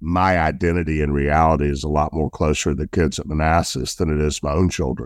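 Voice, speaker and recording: A man with a Southern US accent, very deep and low in pitch, flat and monotone at a moderate pace, in a very clean recording with a silent background. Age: 50s. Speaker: football coach and business owner. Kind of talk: casual interview.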